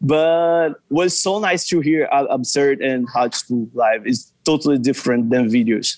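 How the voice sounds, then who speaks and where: Fairly slow and very even in loudness, a man speaks at a fairly high pitch with ordinary pitch variation. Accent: Portuguese. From Brazil. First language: Portuguese. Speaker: fan account runner. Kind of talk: casual chat. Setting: video call. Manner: halting.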